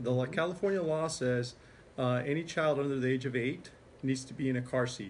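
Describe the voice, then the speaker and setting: Over light background noise, a man talks at a moderate pace in a somewhat breathy voice. His pitch variation is ordinary. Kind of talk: interview answer. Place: meeting room. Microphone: phone near.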